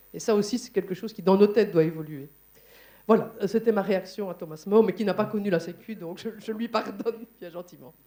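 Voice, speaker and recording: In a Liège accent, a woman speaks at a fairly quick pace with a dark, mellow tone. Her loudness swings widely, while her pitch variation is ordinary. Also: medium pitch for a woman. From Belgium, Liège. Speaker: conference moderator and trade unionist. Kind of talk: panel discussion at a conference. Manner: hesitant, many fillers.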